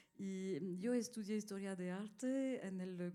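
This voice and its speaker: A woman speaks with a non-native accent and a dark, mellow tone. Her intonation is fairly even. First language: not Spanish (speaking Spanish). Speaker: art collector. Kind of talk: panel discussion. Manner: halting.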